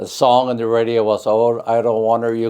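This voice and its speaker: With an American accent, a man speaks at a moderate pace in a dark, mellow tone at a medium pitch. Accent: Upper Midwest, German-Russian North Dakota. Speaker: family elder interviewee. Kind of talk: oral history interview.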